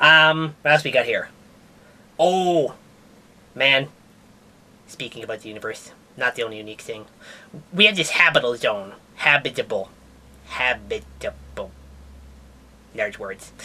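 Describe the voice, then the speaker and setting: A cartoonish character voice at a middle pitch, moderate pace, with long, frequent pauses. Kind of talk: comedic puppet science news. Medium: puppet. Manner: casual, rambling.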